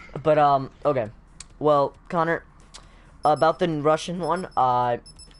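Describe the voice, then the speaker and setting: A man talks at a fairly slow pace and a fairly high pitch. His intonation is fairly even and his loudness very even. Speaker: gaming streamer. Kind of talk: casual chat. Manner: halting.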